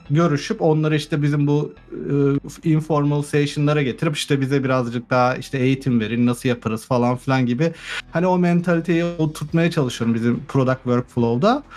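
A man's fairly high voice is heard while music plays in the background. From Turkey. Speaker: software engineer. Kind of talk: casual chat.

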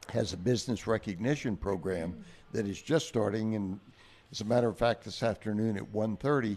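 A man talks at a fairly low pitch and a fairly quick pace. His pitch varies in an ordinary way. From Kerrville, Texas Hill Country. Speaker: pecan grower. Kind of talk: casual chat.

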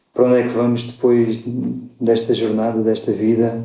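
In a room with audible echo, a man speaks with flat, monotone intonation. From Portugal, Alentejo (Évora). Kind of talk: podcast interview. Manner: hesitant, many fillers.

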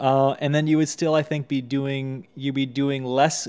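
In an American accent, a man with a plain, everyday voice and medium pitch talks at a fairly slow pace. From Texas, US. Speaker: YouTuber and podcast co-host. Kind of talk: casual chat.

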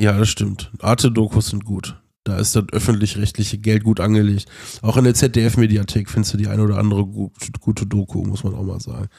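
Somewhat breathy, a man with a fairly low pitch and a dark, mellow tone talks at a fairly quick pace. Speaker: podcast co-host. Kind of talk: casual chat. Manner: animated.

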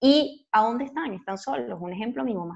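A woman speaks at a moderate pace with a fairly high pitch. It is a plain, everyday voice. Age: 30s. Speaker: podcast co-host and YouTuber. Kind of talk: casual chat.

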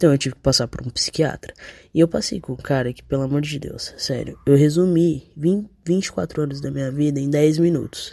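This man speaks at a moderate pace in a fairly high pitch with a dark, mellow tone, ordinary pitch variation and big swings in loudness. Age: 20s. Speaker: listener sending voice message. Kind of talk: recorded voice message.

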